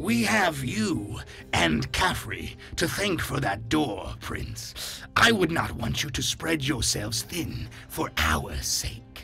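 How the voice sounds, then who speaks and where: A man does a raspy put-on character voice at a very slow pace over clear music in the background. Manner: formal, dutiful.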